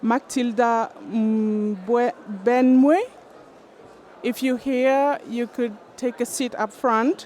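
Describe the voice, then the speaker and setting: A woman's high voice at a very slow pace, with ordinary pitch variation. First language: not English (English is her third language). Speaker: panel moderator, climate advisor. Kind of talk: moderating a panel.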